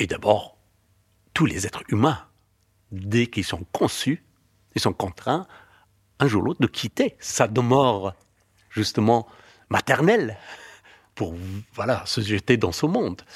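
A man speaks very slowly at a medium pitch, his voice somewhat breathy with lively intonation and long, frequent pauses. The sound is dry and close with no echo, on a very clean recording over a silent background. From Afghanistan. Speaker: novelist and filmmaker. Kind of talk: personal testimony.

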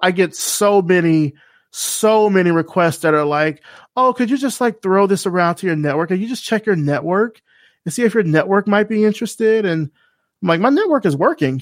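On a very clean recording with a silent background, a man speaks with an American accent. His pitch is high, his intonation lively, and his pace fairly quick. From US South, Selma, Alabama. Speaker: creative director and podcaster. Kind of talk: casual interview.

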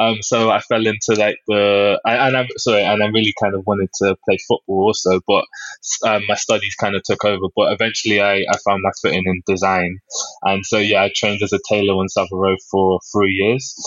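A man with a London accent speaks in a fairly low, monotone, flat voice at a very even loudness. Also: fairly quick pace. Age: 20s. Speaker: fashion designer. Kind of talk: interview. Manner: halting, many fillers.

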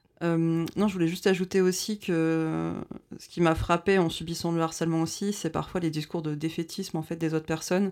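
A woman with a fairly low pitch speaks at a moderate pace in a monotone, flat intonation, captured on a very clean recording with a silent background. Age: 20s. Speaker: radio show co-host. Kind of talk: casual chat. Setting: studio.

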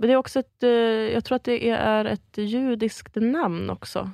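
Here a woman with an unremarkable speaking voice talks at a moderate pace and a fairly high pitch. The sound is dry and close with no echo, a very clean recording with a silent background. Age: 20s. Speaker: improv comedian. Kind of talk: casual chat.

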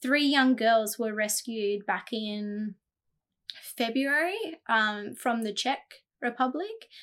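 An Australian accent at a very slow pace, with long, frequent pauses and ordinary pitch variation, in a very clean recording with a silent background. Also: woman, fairly high pitch for a woman. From Australia, New South Wales (Jindabyne). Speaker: children's charity director. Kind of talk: casual chat.

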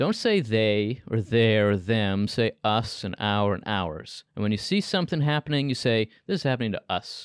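A man with an American accent speaks at a moderate pace with hardly any pauses, in an ordinary speaking voice at medium pitch with ordinary pitch variation. The sound is dry and close with no echo, against a quiet background. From United States (New Jersey area). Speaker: think tank scholar. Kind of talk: interview.

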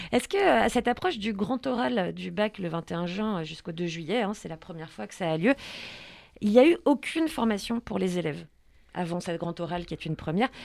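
A woman has an unremarkable speaking voice at medium pitch, with lively intonation. Her loudness swings widely, and she moves at a fairly quick pace. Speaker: radio host. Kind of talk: radio show. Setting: studio. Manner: playful.

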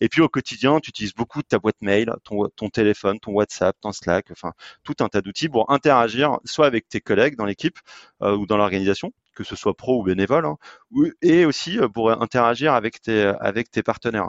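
Lively intonation runs through this man's fairly quick speech at a medium pitch. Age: 30s. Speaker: sports event partnership entrepreneur. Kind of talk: podcast interview. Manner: halting, frequent repetitions.

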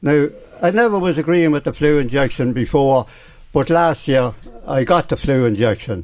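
Delivered at a moderate pace, the speech has lively intonation and a rural Irish accent. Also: man. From Ireland, County Meath near Navan. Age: 80s+. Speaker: veteran amateur cyclist. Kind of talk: radio interview. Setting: radio studio. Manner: halting.

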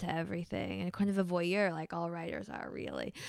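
An ordinary speaking voice from a woman, medium in pitch, with fairly even intonation, on a very clean recording over a silent background. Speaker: novelist. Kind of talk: casual chat. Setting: studio.

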